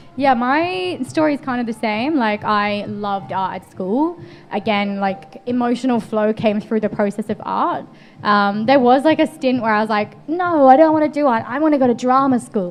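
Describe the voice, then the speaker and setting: A woman with an English accent and a fairly high pitch, at a moderate pace, her intonation lively and her loudness swinging widely over noticeable background noise. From England. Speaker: painter. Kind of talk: interview conversation.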